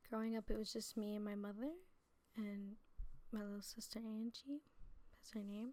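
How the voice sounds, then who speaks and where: Using an American accent, a woman with a fairly high pitch and a dark, mellow tone speaks at a moderate pace with fairly even intonation and long, frequent pauses. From New Jersey. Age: 20s. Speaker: preacher. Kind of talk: testimony. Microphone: too quiet in original upload.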